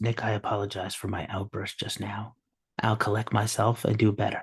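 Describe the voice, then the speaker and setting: A man does a put-on character voice that is raspy and fairly low-pitched, talking at a fairly quick pace in a flat monotone over a quiet background. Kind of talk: calm public-radio announcer. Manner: measured, apologetic.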